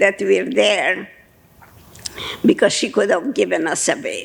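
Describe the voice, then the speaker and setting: A woman talks over noticeable background noise. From Budapest, Hungary. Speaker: Holocaust survivor. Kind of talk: testimony talk to an audience.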